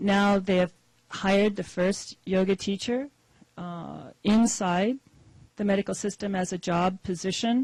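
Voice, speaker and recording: Soft-spoken and medium in pitch, a woman talks at a fairly slow pace with fairly even intonation, the sound dry and close with no echo. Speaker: yoga therapist. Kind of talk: audience question at conference panel.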